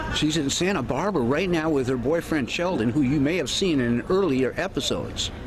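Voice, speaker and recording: A man talks at a fairly quick pace with very even loudness, amid noticeable background noise and audible room echo. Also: fairly high pitch for a man, ordinary pitch variation, hardly any pauses. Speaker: vlogger. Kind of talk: casual vlog talk. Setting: outdoors. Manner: halting.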